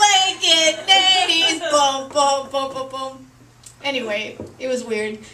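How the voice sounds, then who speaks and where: A woman uses a raised, projected voice at a high pitch with lively intonation. She speaks at a very slow pace, with audible room echo. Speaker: comedian and emcee. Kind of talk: stand-up. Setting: stage with audience.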